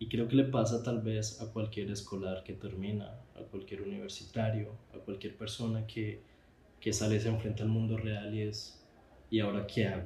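A man's fairly low, somewhat breathy voice with a dark, mellow tone, flat monotone intonation and audible room echo. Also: moderate pace. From Colombia. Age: 20s. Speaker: visual artist, podcast host. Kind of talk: personal podcast monologue. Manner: halting, with fillers and repetitions.

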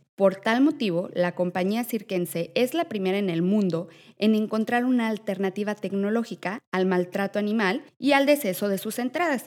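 Using a normal speaking voice, a woman speaks with lively intonation, medium pitch and a moderate pace. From Mexico. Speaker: podcast host. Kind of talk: scripted news segment; casual interview chat.

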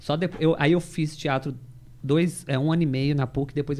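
At a fairly quick pace, a man uses an ordinary speaking voice with a fairly high pitch and fairly even intonation. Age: 30s. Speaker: actor and theatre school owner. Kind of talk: casual chat.

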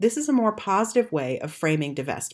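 A woman speaks at a moderate pace with lively intonation in a General American accent, using an ordinary speaking voice. The recording is very clean, with a silent background. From United States. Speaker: podcast host. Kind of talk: solo podcast monologue, scripted-style.

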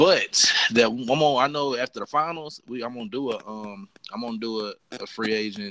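The speaker is a man with a normal speaking voice at a medium pitch. He talks at a fairly quick pace, with big swings in loudness. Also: ordinary pitch variation. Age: 20s. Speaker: podcast host, student. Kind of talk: casual chat.

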